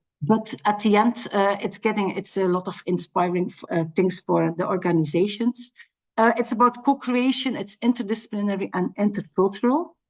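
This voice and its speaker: Her voice sits at a medium pitch, and it rises and falls in an ordinary way as the woman talks. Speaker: international relations officer at a university. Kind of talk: conference presentation. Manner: fast.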